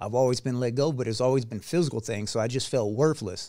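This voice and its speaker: An unremarkable speaking voice moves at a fairly quick pace. The recording is very clean, with a silent background. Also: man. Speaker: retired Air Force veteran. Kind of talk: casual interview chat.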